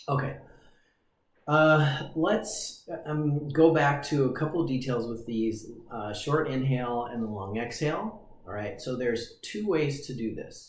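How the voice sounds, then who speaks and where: In a room with audible echo, a man with a fairly high, somewhat breathy voice speaks at a fairly slow pace with lively intonation. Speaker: breathing coach. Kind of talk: tutorial. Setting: livestream. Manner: relaxed.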